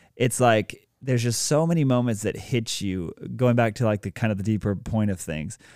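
Over a silent background on a very clean recording, a man with a plain, everyday voice and medium pitch talks at a moderate pace with ordinary pitch variation. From South Carolina. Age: 30s. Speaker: state politician and music publisher. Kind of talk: casual interview. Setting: studio.

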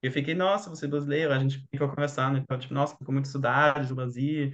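A man's fairly high voice, very fast, in a German accent. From Germany. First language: German (speaking Portuguese). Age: 20s. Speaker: doctor. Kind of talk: casual chat.

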